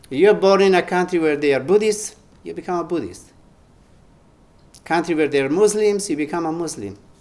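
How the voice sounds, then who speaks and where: Talking at a fairly quick pace, a man with a high voice and an Italian accent shows ordinary pitch variation. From Italy. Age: 70s. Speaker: spiritual teacher. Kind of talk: spiritual talk.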